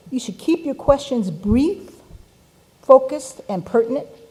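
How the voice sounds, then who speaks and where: Background noise is noticeable throughout. The speaker's intonation rises and falls in a lively way. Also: woman. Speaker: event facilitator. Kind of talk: conference announcements.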